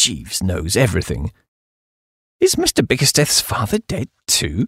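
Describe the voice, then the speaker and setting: Recorded with a dry, close sound and no echo, a man talks in a somewhat breathy voice at a medium pitch. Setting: studio. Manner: shifts to a stately, deferential butler tone for Jeeves's lines.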